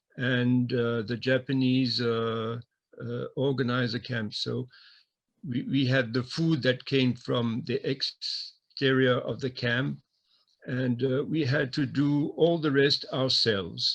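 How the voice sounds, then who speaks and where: A man speaks at a very slow pace with a French accent. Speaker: former wartime camp prisoner. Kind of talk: interview testimony. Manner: halting.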